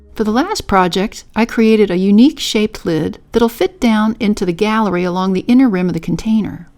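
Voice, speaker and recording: Over music in the background, a woman speaks at a fairly quick pace with a fairly high pitch, ordinary pitch variation, and hardly any pauses. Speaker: potter. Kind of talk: pottery tutorial voice-over.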